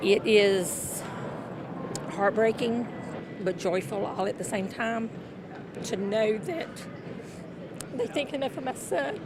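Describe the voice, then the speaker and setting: Speaking very slowly with long, frequent pauses, a woman with an American accent has a fairly high pitch and ordinary pitch variation against noticeable background noise. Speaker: TV news reporter. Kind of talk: TV news reporting, standups and live shots.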